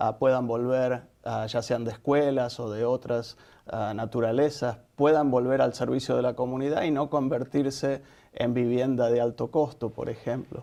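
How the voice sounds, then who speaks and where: In a dark, mellow tone, a man talks with monotone, flat intonation. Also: medium pitch for a man, moderate pace. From Argentina. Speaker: nonprofit executive director. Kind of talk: interview.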